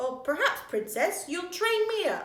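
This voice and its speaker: Using a squeaky put-on character voice, a woman speaks at an extremely high pitch and moderate pace with very wide pitch swings and a slight echo. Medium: read story.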